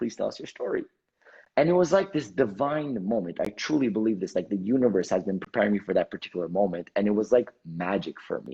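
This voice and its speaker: A man speaks with an Armenian accent at a fairly low pitch. His tone is animated and his intonation lively. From Canada, Montreal. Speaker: entrepreneur and motivational speaker. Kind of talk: interview storytelling.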